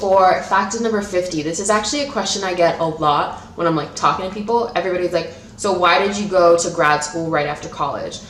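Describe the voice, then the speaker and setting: A woman at medium pitch speaks at a fairly quick pace with hardly any pauses and ordinary pitch variation, amid noticeable background noise and audible room echo. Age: 20s. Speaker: YouTuber. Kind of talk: casual vlog talk. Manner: fast; babbling.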